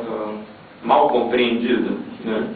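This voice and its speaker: At a moderate pace, a man mumbles in a room with audible echo and noticeable background noise. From Brazil, Rio de Janeiro. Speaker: economics professor, discussant. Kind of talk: conference talk. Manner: mumbling, speaks inward; halting, many fillers.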